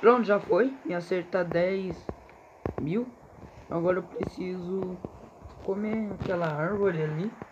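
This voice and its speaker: With long, frequent pauses, a man talks fairly slowly in a high pitch and an animated tone, showing ordinary pitch variation over noticeable background noise. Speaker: gaming youtuber. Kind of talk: gameplay commentary. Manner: casual, animated.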